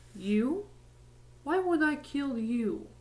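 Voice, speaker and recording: A woman uses a put-on character voice, high-pitched and calm in tone, with very wide swings in pitch. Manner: frighteningly calm.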